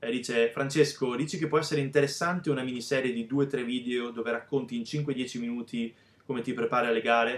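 This man moves at a fairly quick pace, his intonation fairly even. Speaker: bodybuilding vlogger. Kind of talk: casual vlog chat. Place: home room. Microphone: webcam.

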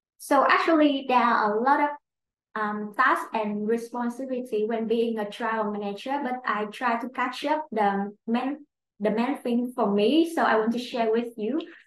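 A high-pitched woman with a Vietnamese accent at a moderate pace, amid audible room echo and light background noise. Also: ordinary pitch variation. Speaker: clinical trial operations manager; webinar panelist. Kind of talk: webinar presentation. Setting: online webinar. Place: office. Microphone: webcam.

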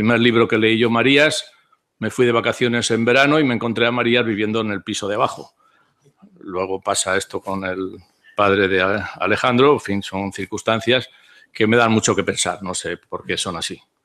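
A man talks at a moderate pace with a bright, sharp tone. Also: ordinary pitch variation. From Spain. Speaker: philosopher's disciple; speaker. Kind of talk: conference talk. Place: hall. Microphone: podium.

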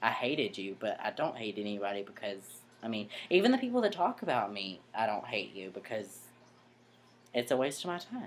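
A man speaks at a fairly quick pace, with light background noise behind him. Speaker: vlogger. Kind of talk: casual vlog chat. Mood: earnest, slightly defensive. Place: home room. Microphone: webcam.

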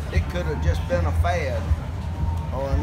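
A man speaking at a moderate pace over loud background noise. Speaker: runner. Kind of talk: interview answer. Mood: reflective, warm. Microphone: handheld.

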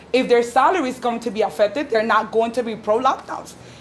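A woman speaks in a New York accent at a high pitch with fairly even intonation. Light background noise can be heard. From New York City, the Bronx. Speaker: activist, former school paraprofessional. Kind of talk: speech to audience. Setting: stage with live audience. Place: meeting room. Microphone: camera far.

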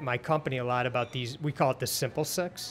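A man with an American accent has a plain, everyday voice, speaking at a medium pitch with fairly even intonation over light background noise. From Detroit area, Michigan; Michigan. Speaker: podcast host. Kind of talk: interview. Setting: restaurant. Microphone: studio mic.

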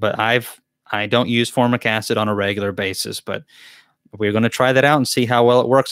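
Very fast and monotone, a man talks with an American accent and flat intonation. The sound is dry with no echo, over a quiet background. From US South. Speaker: beekeeper and channel host; beekeeper hosting live Q&A. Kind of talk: live Q&A chat. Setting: livestream from a laptop. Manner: casual, chatty. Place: home room. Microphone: studio mic.

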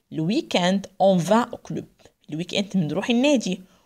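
Against a quiet background, a woman with an Egyptian accent speaks with lively intonation. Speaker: French language teacher; French teacher. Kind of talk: lecture. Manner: mixes Arabic and French, translating phrase by phrase. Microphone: phone near.

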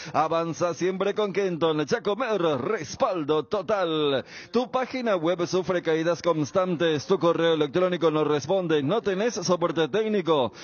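A man speaks at a fairly slow pace with a high pitch and ordinary pitch variation. His loudness stays very even. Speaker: radio announcer. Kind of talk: ad reading. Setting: radio booth.

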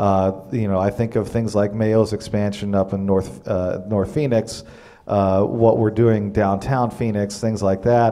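Speaking fairly slowly with an American accent, a man uses a dark, mellow tone, a fairly low pitch, and fairly even intonation. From Arizona. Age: 30s. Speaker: state senator. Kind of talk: panel discussion. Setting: stage with audience. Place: hall. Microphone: handheld.

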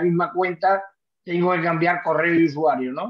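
Over a quiet background, a man speaks at a moderate pace. His pitch is high, with fairly even intonation. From Seville, Spain; Spain. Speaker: caller. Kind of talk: Q&A on a video call. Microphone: video call.

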